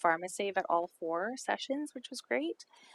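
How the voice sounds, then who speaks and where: Using an unremarkable speaking voice, a woman speaks with lively intonation. The sound is dry and close, with no echo. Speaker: social planning presenter. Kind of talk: council presentation.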